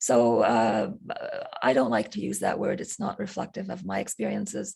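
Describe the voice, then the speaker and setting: Very deep and low in pitch, a woman speaks with an Arabic accent and very wide pitch swings. There is noticeable background noise. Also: moderate pace. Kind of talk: interview. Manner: halting, many fillers.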